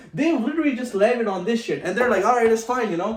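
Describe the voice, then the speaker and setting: This man's pitch sits extremely high, with very wide swings up and down. His tone is animated, and there is noticeable background noise. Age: 20s. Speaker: vlogger. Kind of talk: casual monologue to camera. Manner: animated, informal; stuttering, halting at times.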